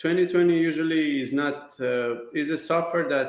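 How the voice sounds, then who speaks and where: Speaking with a Persian accent, a man keeps a moderate pace and fairly even intonation. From Iran. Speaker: business owner, kitchen designer. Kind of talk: interview. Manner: halting.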